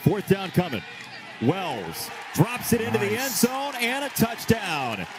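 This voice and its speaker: A man with a high voice speaks at a fairly slow pace with very wide pitch swings. Noticeable background noise can be heard. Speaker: football play-by-play commentator. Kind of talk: live sports commentary. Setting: stadium game broadcast, highlights package. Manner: rising, emphatic calls on touchdowns.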